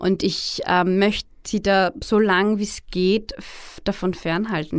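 A woman speaks in a Viennese accent with vocal fry. The recording is very clean, with a silent background. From Austria, Vienna. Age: 30s. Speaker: blogger and author. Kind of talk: interview. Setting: studio.

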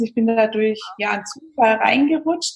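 At a moderate pace, a woman with a fairly high pitch talks with ordinary pitch variation. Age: 30s. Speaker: vegan nutrition and recipe expert. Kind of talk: interview. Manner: hesitant, many fillers.

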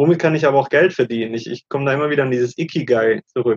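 A man at a fairly quick pace. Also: dry, close sound with no echo. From Germany. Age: 30s. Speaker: digital nomad, former banker. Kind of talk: interview.

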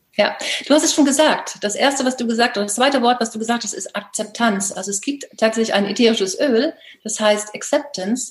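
A woman speaks at a fairly quick pace and a fairly high pitch. Her pitch varies in an ordinary way, with noticeable background noise behind her. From northern Germany, Baltic coast. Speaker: life coach. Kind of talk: interview.

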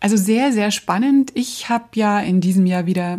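With a dark, mellow tone and a somewhat breathy, medium-pitched voice, a woman talks at a moderate pace on a very clean recording with a silent background. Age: 50s. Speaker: podcast host, brand designer and trainer. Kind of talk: solo podcast monologue.

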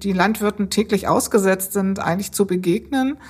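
At a moderate pace, a woman speaks in a somewhat breathy, medium-pitched voice with fairly even intonation. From Bremen. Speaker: civil servant, department head. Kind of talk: interview.

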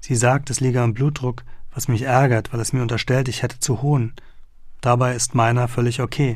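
A man speaks at a fairly quick pace in a medium-pitched, somewhat breathy voice. His intonation is flat and monotone. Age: 30s. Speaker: journalist and author reading his own book. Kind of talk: audiobook reading.

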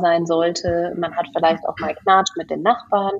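Fairly low-pitched female speech at a moderate pace, with fairly even intonation. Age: 30s. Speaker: management consultant and real estate investor. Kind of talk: podcast interview. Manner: hesitant, many fillers.

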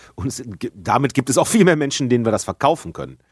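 With lively intonation and a fairly quick pace, a man talks in a normal speaking voice, the sound dry and close with no echo. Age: 40s. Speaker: gaming podcast co-host. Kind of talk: casual chat.

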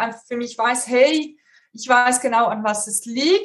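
This woman's voice sits high in pitch, with ordinary pitch variation and a fairly slow pace. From Switzerland. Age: 30s. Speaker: career coach. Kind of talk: interview.

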